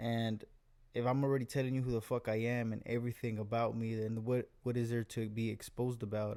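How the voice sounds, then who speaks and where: This man has a medium pitch and a dark, mellow tone. He talks at a fairly quick pace with monotone, flat intonation. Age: 20s. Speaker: Navy sailor. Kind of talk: casual chat. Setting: home recording sharing one mic. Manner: fast.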